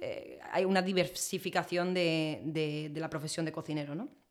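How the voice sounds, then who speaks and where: This woman has an ordinary speaking voice, moving at a fairly quick pace with fairly even intonation. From Spain. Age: 20s. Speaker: chef. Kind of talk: interview conversation.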